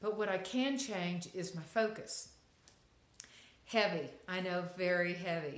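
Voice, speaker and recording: In a Texas accent, a woman speaks at medium pitch and a fairly slow pace with ordinary pitch variation. Long, frequent pauses break her speech, and room echo is audible. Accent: Texas accent, noticeable. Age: middle-aged. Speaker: lifestyle vlogger. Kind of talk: inspirational monologue to camera. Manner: hesitant, many fillers.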